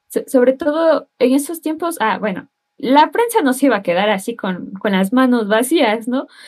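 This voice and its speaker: With lively intonation, a woman speaks at a moderate pace and a high pitch. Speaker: civil engineering student. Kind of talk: casual chat.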